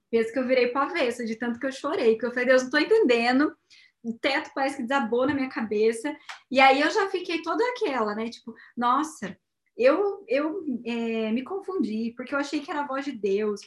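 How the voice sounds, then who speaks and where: A woman's high-pitched voice, lively in intonation, at a fairly quick pace. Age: 30s. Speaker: missionary and entrepreneur. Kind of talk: testimony.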